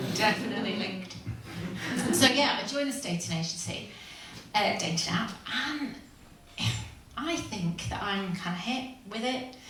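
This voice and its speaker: A woman with a West Yorkshire accent speaks at a moderate pace with ordinary pitch variation. Noticeable background noise and audible room echo surround her voice. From northern England, Huddersfield. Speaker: stand-up comedian. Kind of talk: stand-up. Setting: stage with audience.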